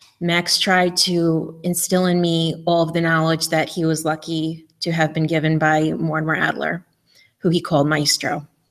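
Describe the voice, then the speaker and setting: In a very clean recording with a silent background, a woman with a New York accent speaks at a fairly low pitch and moderate pace, her intonation monotone and flat and her loudness very even. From New York, Eastern Long Island. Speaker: conference speaker. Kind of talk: memorial tribute.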